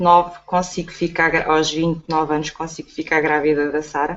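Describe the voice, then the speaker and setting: A woman with a fairly low pitch speaks in a normal speaking voice at a moderate pace. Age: 40s. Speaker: online entrepreneur. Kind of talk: testimony.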